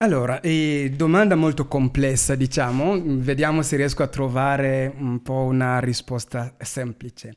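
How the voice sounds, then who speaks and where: A man talks fairly slowly in a plain, everyday voice, his pitch medium and its variation ordinary. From Congo. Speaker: activist, march organizer. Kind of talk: radio interview. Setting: studio.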